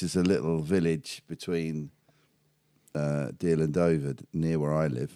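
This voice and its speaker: A man's dark, mellow voice at a very slow pace. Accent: British. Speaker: podcast host. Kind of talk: casual chat.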